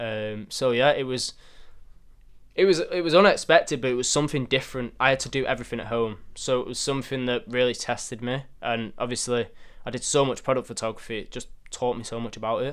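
A man with a Mancunian accent talks at a very fast pace on a very clean recording with a silent background. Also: medium pitch for a man, ordinary pitch variation. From northern England, Manchester. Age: young. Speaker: photographer and content creator. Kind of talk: interview.

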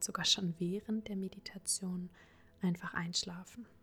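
A somewhat breathy woman's voice at a fairly slow pace. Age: 20s. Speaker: podcast host and psychology student. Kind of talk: guided meditation. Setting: home recording. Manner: soft-spoken.

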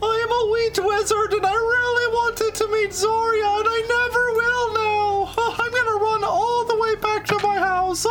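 A put-on character voice at an extremely high pitch, delivered at a moderate pace. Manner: ventriloquist voice, poorly acted.

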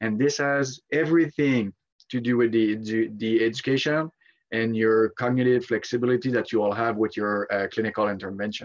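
A man uses an ordinary speaking voice at a medium pitch. He talks at a fairly quick pace with ordinary pitch variation. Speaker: sleep researcher. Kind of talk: casual interview chat.

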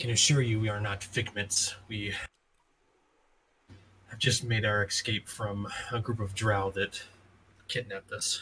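A man's raspy, put-on character voice, medium in pitch and flat in intonation, at a moderate pace with long, frequent pauses. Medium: actual play. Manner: formal, measured.

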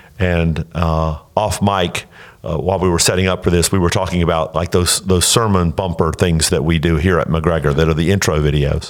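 Over noticeable background noise, a man speaks in a very deep, low pitch with very even loudness and fairly even intonation. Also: moderate pace. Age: 60s. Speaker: pastor. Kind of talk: casual chat. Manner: halting.

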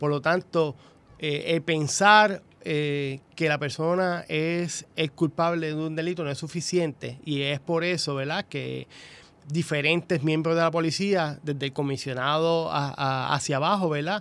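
A man speaks at a fairly slow pace in a fairly high pitch with fairly even intonation. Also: very clean recording, silent background. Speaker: police sergeant. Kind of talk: radio interview. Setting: radio studio. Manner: hesitant, many fillers.

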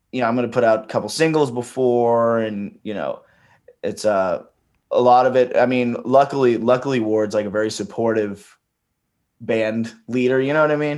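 A man's ordinary speaking voice, medium in pitch, fairly even in intonation, at a moderate pace over a quiet background. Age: 20s. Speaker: singer-songwriter and touring musician. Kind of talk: casual chat. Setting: podcast interview.

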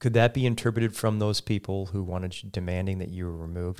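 With fairly even intonation and an American accent, the speaker races along very fast on a very clean recording with a silent background. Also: man. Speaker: radio talk show host. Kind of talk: interview conversation. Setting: studio.

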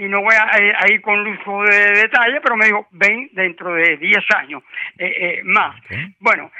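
A man's high-pitched voice at a fairly slow pace, with fairly even intonation. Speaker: retired worker calling a health radio show. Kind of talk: call-in question to radio doctor. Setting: phone call. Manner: halting, many hesitations.

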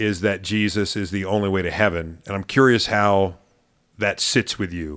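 In a normal speaking voice, a man with an American accent talks at a fairly low pitch with fairly even intonation, on a very clean recording with a silent background. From Maryland, US. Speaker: pastor. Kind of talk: casual chat.

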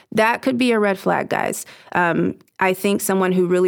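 A woman speaks in an ordinary speaking voice at a moderate pace. Her pitch is medium, and she has an American accent. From Southern California. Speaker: anti-trafficking coordinator for a charity. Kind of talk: casual interview.

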